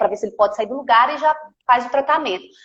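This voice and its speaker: This is a woman speaking. She has a Minas Gerais accent. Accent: Minas Gerais (mineiro). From Minas Gerais, Brazil (Campo Belo). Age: 30s. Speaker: physiotherapist. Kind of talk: live stream interview.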